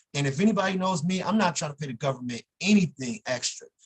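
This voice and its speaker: A man talks at a fairly quick pace with a high pitch. The sound is dry and close, with no echo. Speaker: attorney. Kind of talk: workshop talk. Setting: video call. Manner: fast.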